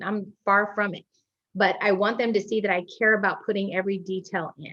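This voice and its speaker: A woman with a medium pitch talks at a fairly quick pace against a quiet background. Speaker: insurance agency owner. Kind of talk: interview. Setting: podcast interview. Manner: fast.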